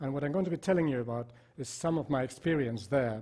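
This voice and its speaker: A man talks with ordinary pitch variation. His tone is dark and mellow, somewhat breathy. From Spain. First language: Spanish. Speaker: psychiatrist. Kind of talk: lecture.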